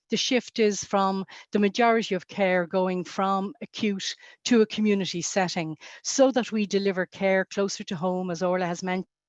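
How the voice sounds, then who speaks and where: A woman with an Irish accent speaks at a medium pitch and moderate pace with fairly even intonation, the sound dry and close with no echo against a quiet background. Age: 60s. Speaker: health policy panelist. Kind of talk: webinar panel discussion. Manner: halting, many fillers.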